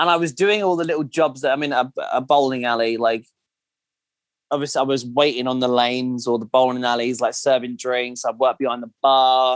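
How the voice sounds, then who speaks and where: A man with a southern English accent talks at a fairly quick pace. His medium pitch follows a fairly even intonation. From southern England, Kent. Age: 20s. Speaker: podcast guest. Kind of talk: casual chat.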